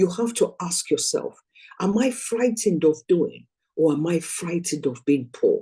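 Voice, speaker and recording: A woman's dark, mellow, somewhat breathy voice with lively intonation. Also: medium pitch for a woman, moderate pace. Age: 60s. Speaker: network marketing business trainer. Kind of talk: motivational training talk.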